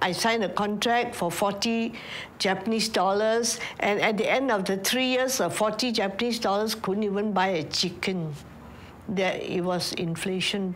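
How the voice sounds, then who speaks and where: The voice moves at a moderate pace with fairly even intonation and very even loudness. Noticeable background noise and audible room echo are present. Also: woman, medium pitch for a woman. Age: 80s+. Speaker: war survivor. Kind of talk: testimony.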